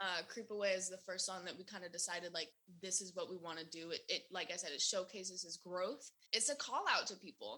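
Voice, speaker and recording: This woman has a bright, sharp tone and an American accent. She talks at a fairly quick pace with ordinary pitch variation. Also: medium pitch for a woman. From US South, Sarasota, Florida. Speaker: artist manager. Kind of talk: casual chat.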